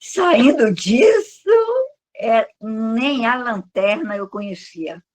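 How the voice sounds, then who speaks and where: Speaking at a very slow pace, a woman uses lively intonation in a fairly high voice. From Brazil, Salvador, Bahia. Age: 70s. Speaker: online course student. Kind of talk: interview.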